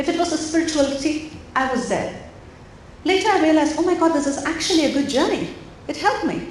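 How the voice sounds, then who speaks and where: A high-voiced woman talks at a very fast pace with ordinary pitch variation and long, frequent pauses, amid audible room echo and noticeable background noise. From India. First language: Indian language (not English). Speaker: mindfulness coach. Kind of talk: interactive talk to parents. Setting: auditorium with audience. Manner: animated.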